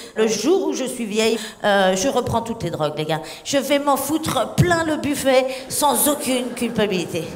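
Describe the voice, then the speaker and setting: Over music in the background and audible room echo, a woman speaks at a fairly slow pace in a high, animated voice with very wide pitch swings. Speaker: stand-up comedian. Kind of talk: stand-up. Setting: stage with audience.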